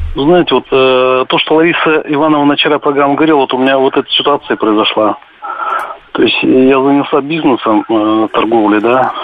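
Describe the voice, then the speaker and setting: A man's fairly high voice at a moderate pace, with ordinary pitch variation, very even loudness, and noticeable background noise. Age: 60s. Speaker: caller. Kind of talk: phone-in call. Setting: phone call.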